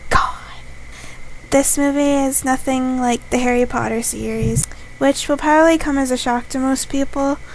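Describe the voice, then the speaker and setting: Quiet, high-pitched female voice, monotone and flat, with long, frequent pauses and noticeable background noise. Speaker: YouTube vlogger. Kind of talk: casual vlog review. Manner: talks quietly on camera; slower pace.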